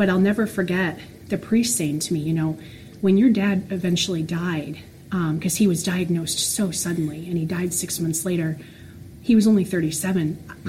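A woman speaks in an American accent at a fairly low pitch. Her pace is moderate, pitch variation ordinary, and audible room echo surrounds her. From Florida. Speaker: special education teacher. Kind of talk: casual interview.

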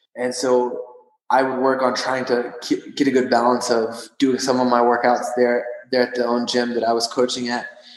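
A man with a Texan accent at a moderate pace. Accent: Texan American. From West Texas (Odessa). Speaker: strength and conditioning coach, CrossFit athlete. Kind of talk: interview.

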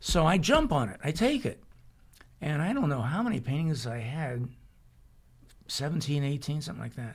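Somewhat breathy and fairly high-pitched, a man speaks with lively intonation and long, frequent pauses. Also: moderate pace. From US West, Arizona. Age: 70s. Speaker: painter. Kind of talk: casual interview.

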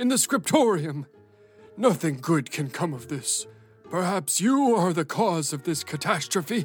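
A man at a high pitch with very wide pitch swings, a moderate pace and faint music in the background. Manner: stern, hostile, scolding.

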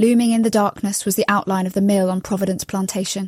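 With a London accent, a woman speaks at a medium pitch in a somewhat breathy voice. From London, England. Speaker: novelist. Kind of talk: reading aloud.

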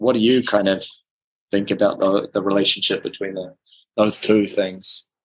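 Monotone, flat delivery at a moderate pace in a New Zealand accent. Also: man, fairly low pitch for a man. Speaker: podcast host. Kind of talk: casual chat.

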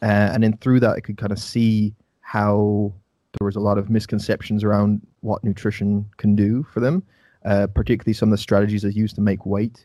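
A man with an Irish accent speaks in a dark, mellow tone at a fairly quick pace. His intonation stays monotone and flat. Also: fairly low pitch for a man. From Ireland. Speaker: nutrition coach and podcast host. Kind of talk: casual interview. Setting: video call.

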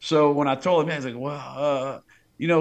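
Against a quiet background, a man with a South Louisiana accent talks at a moderate pace in a fairly high pitch. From Louisiana, Plaquemines Parish. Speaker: fishing guide. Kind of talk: casual chat.

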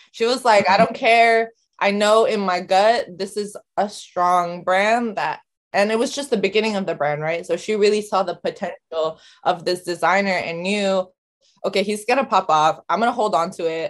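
A woman speaks with a Californian accent. Her pace is moderate. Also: medium pitch for a woman, ordinary pitch variation. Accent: Californian American. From San Francisco Bay Area. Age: 20s. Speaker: artist and family boutique owner. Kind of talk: casual interview chat.

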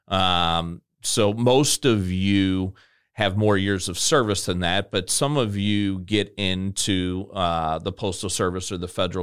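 The voice moves at a fairly slow pace with fairly even intonation, in a very clean recording with a silent background. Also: man. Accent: American. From US Midwest, Illinois near St. Louis. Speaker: federal retirement consultant, podcast co-host. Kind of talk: casual chat. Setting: studio.

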